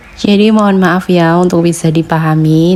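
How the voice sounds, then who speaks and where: This woman speaks at a medium pitch. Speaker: travel vlogger. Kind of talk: travel vlog narration. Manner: not very fast.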